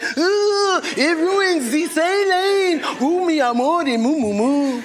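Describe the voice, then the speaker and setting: A put-on character voice with a French accent, extremely high pitch and very slow pace, over clear background noise. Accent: exaggerated French. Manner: mocking, caricature.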